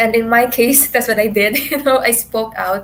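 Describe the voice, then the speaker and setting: At a moderate pace, a woman speaks at a fairly high pitch. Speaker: beauty pageant contestant. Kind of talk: virtual panel discussion. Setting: video call. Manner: loud.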